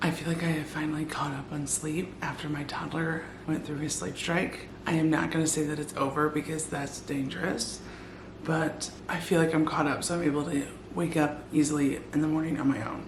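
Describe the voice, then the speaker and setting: A woman's very deep, low voice comes through in a flat monotone, with audible room echo and noticeable background noise. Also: fairly quick pace. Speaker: weight loss vlogger. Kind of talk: casual vlog. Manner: quiet, trying not to wake family.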